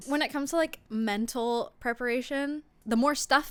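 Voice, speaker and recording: A woman talks at a moderate pace in an unremarkable speaking voice with ordinary pitch variation. The recording is very clean, with a silent background. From Italy, moved to Canada very young. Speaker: singer-songwriter. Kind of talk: casual chat. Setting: living room.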